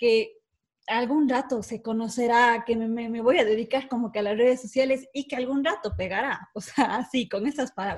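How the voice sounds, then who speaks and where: High-pitched female speech with ordinary pitch variation. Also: very clean recording, silent background. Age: 20s. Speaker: event business owner. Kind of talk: casual chat.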